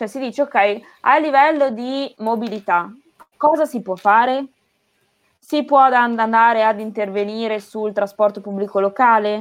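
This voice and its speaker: Pausing long and often, a woman speaks fairly slowly in a fairly high voice with ordinary pitch variation. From northern Italy, Emilia-Romagna (near Bologna). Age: 20s. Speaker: sports sustainability specialist, former competitive swimmer. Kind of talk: interview on a live stream.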